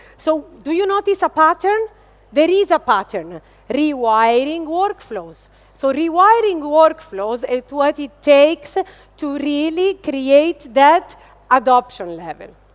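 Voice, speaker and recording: A high-pitched woman's voice with an Italian accent, very slow in pace, with very wide pitch swings. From Italy. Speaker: business executive. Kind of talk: keynote speech. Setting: stage with audience. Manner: animated.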